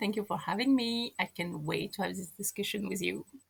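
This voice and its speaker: Bright, sharp tone at a fairly quick pace, with very wide pitch swings. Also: woman. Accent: strong French. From France, Moroccan parents. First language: French. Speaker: podcast guest. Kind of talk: casual chat.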